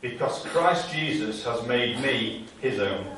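A man talks at a very slow pace, with light background noise and audible echo in the room. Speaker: preacher. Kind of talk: sermon. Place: church. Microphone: camera far.

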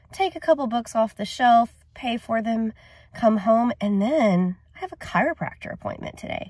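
A woman at a moderate pace, dry sound with no echo and a quiet background. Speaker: book vlogger. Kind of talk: casual vlog chat. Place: car. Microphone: phone near.

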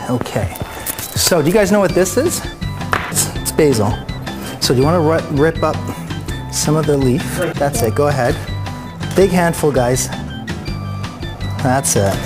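Clear music plays behind a man who speaks at a moderate pace with long, frequent pauses. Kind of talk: cooking tutorial with kids. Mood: warm, playful, encouraging. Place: kitchen.

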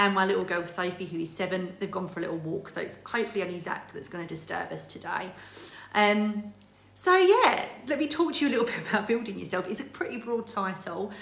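Very fast speech from a woman, with ordinary pitch variation and audible room echo. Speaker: direct sales team leader. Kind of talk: motivational talk. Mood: warm, upbeat. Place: home room. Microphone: phone near.

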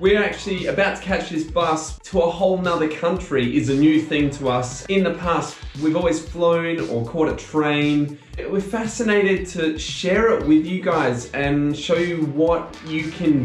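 Faint music plays in the background as a man speaks at a fairly slow pace with ordinary pitch variation and audible room echo. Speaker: travel vlogger. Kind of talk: casual vlog chat. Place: home room. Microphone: camera far.

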